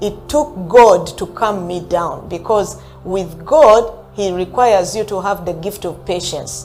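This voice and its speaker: Music plays in the background as a woman speaks at a fairly slow pace with ordinary pitch variation and hardly any pauses. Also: medium pitch for a woman. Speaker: motivational speaker and customer service trainer. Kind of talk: motivational talk. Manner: animated.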